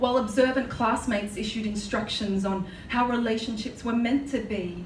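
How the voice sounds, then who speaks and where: Moderate pace and fairly even intonation in an Australian accent, against noticeable background noise. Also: woman, fairly high pitch for a woman. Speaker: spoken word poet. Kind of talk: live spoken word poetry performance. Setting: live venue.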